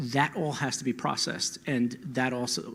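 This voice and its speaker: With an American accent, a man speaks at a medium pitch and with fairly even intonation. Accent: holds back his New Jersey. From New Jersey. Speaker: panelist, AV technology expert. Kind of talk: panel discussion.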